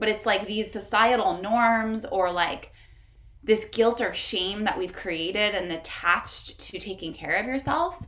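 A woman with a plain, everyday voice talks fairly slowly at a fairly high pitch. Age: 30s. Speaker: wellness entrepreneur. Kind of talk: casual chat.

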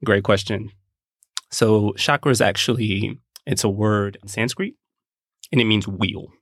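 With long, frequent pauses and big swings in loudness, a man speaks at a fairly slow pace in a fairly low voice with fairly even intonation. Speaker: podcast co-host. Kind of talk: casual podcast conversation.

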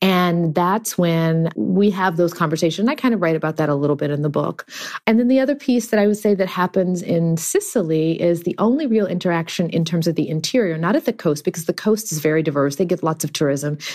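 With an American accent, the speaker races at a very fast pace with lively intonation, very even loudness and hardly any pauses, while noticeable background noise sits behind. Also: woman, fairly low pitch for a woman. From Texas, Houston. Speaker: actress and memoir author. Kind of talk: interview conversation.

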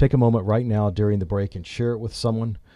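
A man's fairly low, dark, mellow voice on a very clean recording with a silent background. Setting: studio.

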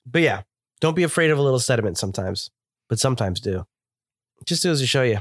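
A man's medium-pitched voice at a very fast pace, with very wide pitch swings and long, frequent pauses, on a very clean recording with a silent background. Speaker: beer podcast co-host. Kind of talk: casual chat.

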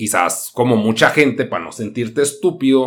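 A man speaks with a Mexican accent in an animated tone, his pitch swinging very widely. The recording is very clean, with a silent background. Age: 30s. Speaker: podcast host and streamer. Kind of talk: casual monologue. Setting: live stream.

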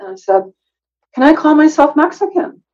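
A woman's fairly quick delivery comes with music playing behind it. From US Midwest. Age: 60s. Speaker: DNA surprise story guest. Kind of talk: personal testimony interview. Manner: halting, many fillers.

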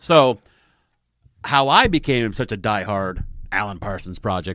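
Speaking very slowly in a Midwestern American accent, a man has a fairly low pitch with ordinary pitch variation. The recording is very clean, with a silent background. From US Midwest, northern Indiana. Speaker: podcast host. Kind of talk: casual chat.

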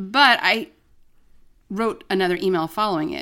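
The woman's voice has a bright, sharp tone and an animated, playful tone, with very wide pitch swings. The recording is very clean, with a silent background. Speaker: podcast co-host. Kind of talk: casual chat.

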